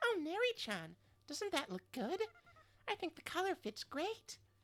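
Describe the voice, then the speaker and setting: A woman's put-on character voice, cheerful in tone and extremely high in pitch, with very wide pitch swings at a moderate pace. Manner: cute, cheerful.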